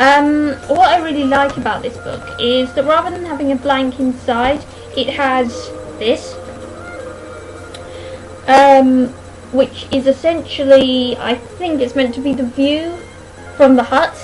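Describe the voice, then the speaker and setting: Over music in the background, a woman with a high voice mumbles at a fairly slow pace. Her intonation stays fairly even, broken by long, frequent pauses. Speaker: book reviewer. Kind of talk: casual book review to camera. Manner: mumbles in parts. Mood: chatty, self-deprecating. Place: home room. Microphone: webcam.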